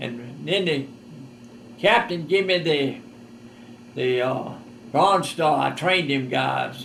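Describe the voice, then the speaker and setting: In a Southern US accent, a man talks at a fairly slow pace. Room echo is audible. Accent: Southern US rural. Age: 80s+. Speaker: war veteran. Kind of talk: testimony. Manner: halting.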